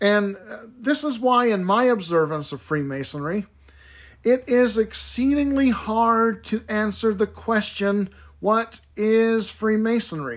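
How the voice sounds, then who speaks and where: A man speaks very slowly in a high voice with lively intonation, on a very clean recording with a silent background. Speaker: podcast host, Freemasonry educator. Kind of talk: solo monologue podcast. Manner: halting with fillers.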